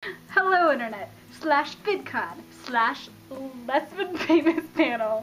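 The speaker has an American accent and lively intonation. Faint music plays in the background. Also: woman. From Colorado. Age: 20s. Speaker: YouTuber. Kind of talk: casual talk to camera. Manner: enthusiastic. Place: home room. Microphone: phone near.

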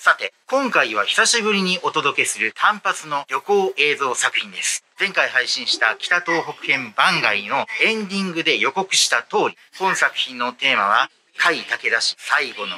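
A man talking at a fairly slow pace over light background noise. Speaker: travel vlogger. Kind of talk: casual vlog chat. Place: station. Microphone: phone near.

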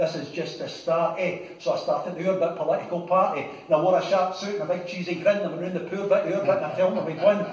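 Speaking very fast with hardly any pauses, a man uses a high pitch while audible room echo fills the recording. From Scotland. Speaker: poet. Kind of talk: poetry reading. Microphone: camera far.

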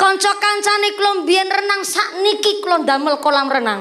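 Her tone animated, a woman speaks at a moderate pace with very wide pitch swings. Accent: Javanese. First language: Javanese (speaking Indonesian). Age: 20s. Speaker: female preacher. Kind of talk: comedic sermon. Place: stage. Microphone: handheld.

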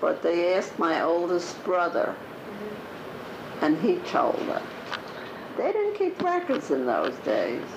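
In an American accent, the speaker keeps a very even loudness at a very slow pace with long, frequent pauses, over noticeable background noise. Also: woman. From Newark, New Jersey. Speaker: grandmother telling life stories. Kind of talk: interview answer.

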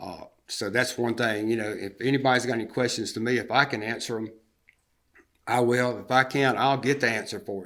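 A man's medium-pitched voice in a Southern US accent, fairly quick and fairly even in intonation, with big swings in loudness. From US South, upstate South Carolina. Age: 60s. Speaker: public commenter at a city council meeting. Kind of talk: public comment at a council meeting.

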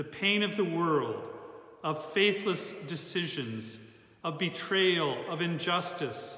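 Very slow and solemn in tone, the voice shows ordinary pitch variation against audible room echo. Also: man, high pitch for a man. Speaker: church service leader. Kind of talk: liturgical prayer, Good Friday worship. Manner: solemn, fervent, slow and heartfelt. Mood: solemn, reverent. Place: church. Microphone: phone near.

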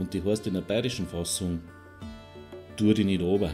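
With music in the background, a man with a Bavarian accent and a very deep, low pitch speaks in a calm tone with fairly even intonation. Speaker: hypnotherapist. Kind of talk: guided relaxation hypnosis. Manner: calm, slow.

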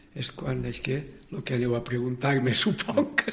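A man at a very slow pace, with ordinary pitch variation. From Valencia region. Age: 80s. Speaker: cooperative movement pioneer. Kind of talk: interview, personal life story. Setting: radio studio. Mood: warm, reminiscing. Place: studio.

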